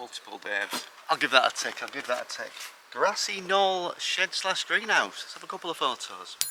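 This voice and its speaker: A man with an English accent at a moderate pace, big swings in loudness, and noticeable background noise. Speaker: allotment gardener, video creator. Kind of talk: casual vlog tour. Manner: mumbling at times.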